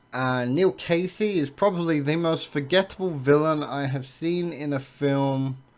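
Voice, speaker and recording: Recorded very cleanly against a silent background, a man with an English accent speaks at a fairly high pitch with ordinary pitch variation. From England. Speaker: movie reviewer. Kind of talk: film review monologue. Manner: hesitant, frequent uh and um fillers.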